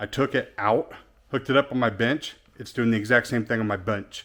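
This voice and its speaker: Moderate pace and a normal speaking voice, captured in a very clean recording with a silent background. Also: man. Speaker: car audio shop owner. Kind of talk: casual vlog.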